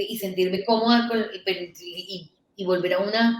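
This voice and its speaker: Fairly slow speech from a woman at a medium pitch. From Venezuela (Caracas), born in Colombia. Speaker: digital agency founder, entrepreneur. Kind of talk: interview storytelling. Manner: animated, with many restarts.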